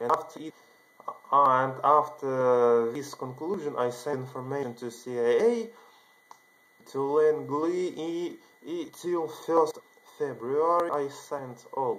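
A man with a non-native accent, fairly high in pitch, at a very slow pace with long, frequent pauses, ordinary pitch variation and big swings in loudness. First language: not English. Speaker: video channel creator. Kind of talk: monologue telling a personal story to camera. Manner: halting. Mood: earnest, excited. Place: home room. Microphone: webcam.

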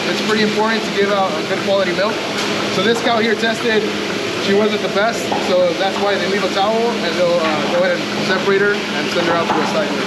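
Loud background noise fills the clip. Over it, a man talks at a fairly quick pace. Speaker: dairy farm manager. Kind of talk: farm tour explanation. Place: farm machine. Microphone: phone near.

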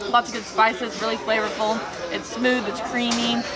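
A woman talks at a moderate pace. Crowd noise runs in the background. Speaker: food vlogger. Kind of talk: casual vlog chat. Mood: cheerful, self-deprecating. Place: bar. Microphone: camera far.

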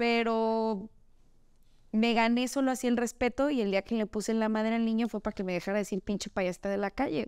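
A woman talks at a fairly quick pace with fairly even intonation. The sound is dry with no echo, and the background is quiet. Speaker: children's party clown and entertainer; guest. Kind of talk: casual chat. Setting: studio. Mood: relaxed, joking, candid. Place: home room.

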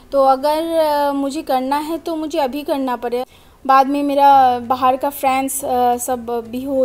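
Very slowly, a woman with a high pitch speaks in a monotone, flat intonation. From Assam, India. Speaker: vlogger. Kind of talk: casual vlog talk to camera. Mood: warm, friendly. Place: home room. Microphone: phone near.

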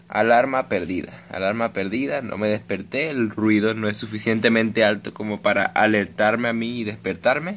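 Over light background noise, a man with a fairly low pitch speaks at a moderate pace. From Venezuela. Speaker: gaming YouTuber. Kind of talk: casual vlog talk to camera. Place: home room. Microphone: phone near.

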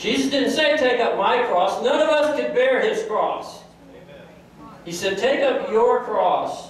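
A man speaks at an extremely high pitch and a fairly slow pace. Strong room echo surrounds him, along with light background noise. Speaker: pastor. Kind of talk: sermon delivered to a congregation. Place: church.

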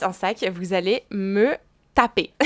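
There's a quiet background as a woman talks. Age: 20s. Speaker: fashion YouTuber and luxury reseller; fashion vlogger. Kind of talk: casual vlog to camera. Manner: casual with fillers. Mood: chatty, opinionated. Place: home room. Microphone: lapel.

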